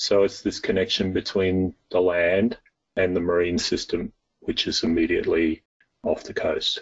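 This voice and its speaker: A man speaks at a moderate pace in an Australian accent. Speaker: soil and water scientist. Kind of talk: interview.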